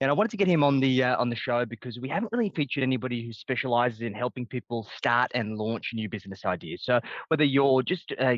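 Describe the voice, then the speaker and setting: A man's medium-pitched voice at a very fast pace, dry and close with no echo, over a quiet background. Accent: Australian. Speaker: podcast host and business coach. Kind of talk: podcast interview.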